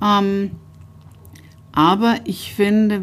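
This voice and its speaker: The woman's voice sits at a medium pitch. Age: 50s. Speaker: publisher. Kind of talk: interview. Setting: publisher's office.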